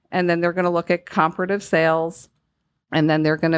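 Over a quiet background, a woman with a Northeastern US accent speaks in a very deep, low pitch with fairly even intonation. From US Northeast. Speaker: home loan specialist. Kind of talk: casual interview.

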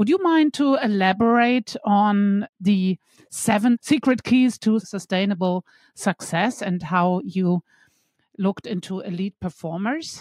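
A woman with a normal speaking voice, medium pitch, fairly slow pace and lively intonation. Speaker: podcast host. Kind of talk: interview with scripted intro.

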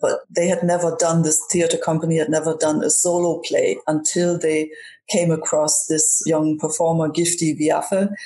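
Her loudness stays very even and her intonation is monotone and flat. The woman's pitch is fairly low, at a moderate pace. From Germany. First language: German. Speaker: comedian. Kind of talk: casual chat.

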